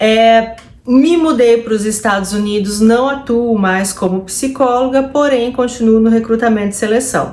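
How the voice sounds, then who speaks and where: A woman speaks fairly slowly at a fairly high pitch, with hardly any pauses and ordinary pitch variation. Her loudness stays very even, and audible room echo surrounds her. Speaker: psychologist vlogger. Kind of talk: personal vlog.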